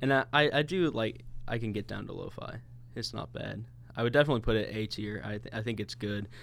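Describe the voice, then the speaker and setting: A man with an American accent talks at a very fast pace at medium pitch, with ordinary pitch variation and vocal fry. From US Midwest (St. Louis, Missouri). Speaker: podcast co-host. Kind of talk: casual chat. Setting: recording studio.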